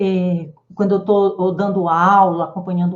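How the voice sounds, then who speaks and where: Delivery here is at a fairly slow pace. There's a somewhat breathy quality to the voice. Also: woman. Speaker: psychologist and wellness teacher. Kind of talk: live online class. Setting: live stream with chat.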